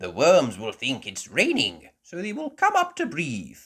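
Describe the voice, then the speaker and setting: On a very clean recording with a silent background, a man performs a put-on character voice. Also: moderate pace. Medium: read story. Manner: knowledgeable, patient.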